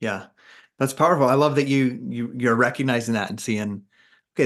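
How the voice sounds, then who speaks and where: An ordinary speaking voice from a man at a medium pitch, with ordinary pitch variation and a quiet background. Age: 40s. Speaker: podcast host. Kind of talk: casual chat.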